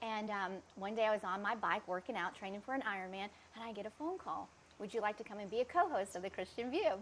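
A woman with a Georgia accent, fairly high in pitch, at a very fast pace. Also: ordinary pitch variation. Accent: US Southern (Georgia). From Atlanta, Georgia, US South. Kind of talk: testimony. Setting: at her home.

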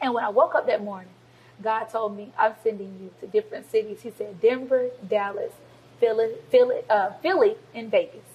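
With an American accent, a woman talks at a fairly quick pace in a fairly high pitch, her intonation fairly even and her delivery a normal speaking voice. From US South, Georgia (Covington). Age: 20s. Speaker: youth pastor. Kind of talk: interview.

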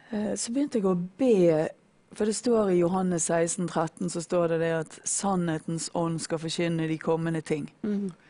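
Fairly low pitch from a woman, dark and mellow in tone. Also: ordinary pitch variation, fairly slow pace. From Norway, Bergen. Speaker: former drug addict sharing faith story. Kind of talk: testimony. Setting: studio.

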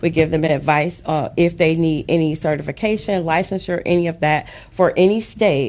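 A woman speaks in a plain, everyday voice with an American accent. Her pace is moderate and her intonation fairly even. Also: fairly low pitch for a woman, hardly any pauses. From Detroit, Michigan. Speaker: author and financial advisor. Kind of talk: interview. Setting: studio.

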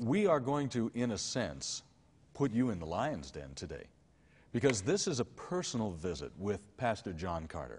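With an American accent and vocal fry, a man speaks at medium pitch and a moderate pace. His pitch swings very widely. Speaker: TV show host. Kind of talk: television interview. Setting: studio.

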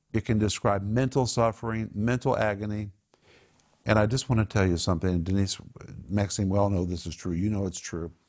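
A man with an American accent, fairly quick in pace, with ordinary pitch variation. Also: fairly low pitch for a man. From Oklahoma (Tulsa). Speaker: Bible teacher and show host. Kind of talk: Bible teaching and group discussion. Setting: studio. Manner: animated.

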